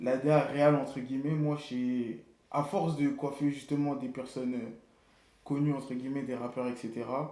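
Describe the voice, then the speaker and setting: In a room with audible echo, a man with a fairly high pitch and a dark, mellow tone speaks in a monotone, flat intonation. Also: moderate pace. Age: 20s. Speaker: barber and artistic director. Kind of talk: casual interview. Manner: casual slangy.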